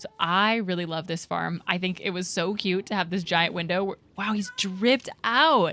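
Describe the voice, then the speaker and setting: A woman has an unremarkable speaking voice with medium pitch. She speaks at a moderate pace with ordinary pitch variation. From Pennsylvania. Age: 20s. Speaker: streamer. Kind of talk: casual chat.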